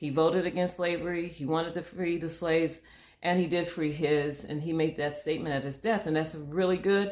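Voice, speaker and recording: A woman with an American accent speaks fairly quickly at a fairly low pitch, with fairly even intonation. Hers is a plain, everyday voice. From Michigan. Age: 60s. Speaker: history podcast host. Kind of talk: casual conversation about history.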